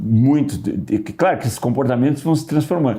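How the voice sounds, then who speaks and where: The speaker is a man. His tone is dark and mellow. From southern Brazil. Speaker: musician. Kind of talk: casual podcast interview. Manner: hesitant, with filler words.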